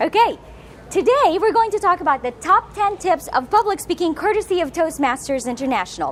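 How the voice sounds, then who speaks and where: Amid noticeable background noise, a woman speaks at a fairly quick pace in an extremely high pitch with very wide pitch swings. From Philippines. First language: Filipino/Tagalog. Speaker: motivational speaker. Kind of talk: public speaking talk. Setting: room with live audience, filmed. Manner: animated.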